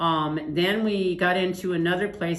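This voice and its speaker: A woman with an American accent and fairly even intonation, with audible room echo. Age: 60s. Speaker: trafficking survivor. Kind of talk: testimony.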